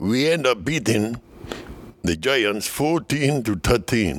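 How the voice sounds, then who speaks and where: A man talks with a Dominican accent at a medium pitch. His intonation is lively. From Dominican Republic. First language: Spanish. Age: 70s. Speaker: former baseball player. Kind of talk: casual interview, storytelling. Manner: animated, laughs often.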